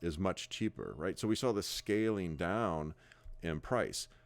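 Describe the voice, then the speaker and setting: With a Midwestern accent, a man with a very deep, low pitch speaks at a moderate pace and ordinary pitch variation, on a very clean recording with a silent background. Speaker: real estate broker. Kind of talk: sales pitch. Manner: halting, many fillers and repeats.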